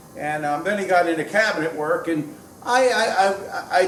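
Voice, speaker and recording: A man's high-pitched voice with lively intonation, audible room echo, and noticeable background noise. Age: 60s. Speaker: woodworker and cabinet maker vlogger. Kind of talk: casual vlog monologue. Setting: woodworking shop. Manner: hesitant, many fillers.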